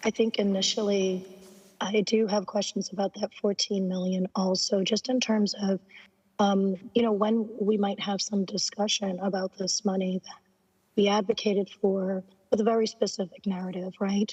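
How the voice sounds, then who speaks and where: The delivery moves at a moderate pace with a flat, monotone intonation and a somewhat breathy quality. The sound is dry and close, with no echo. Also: woman, medium pitch for a woman. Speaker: professor. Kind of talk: public meeting discussion. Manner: halting, many fillers.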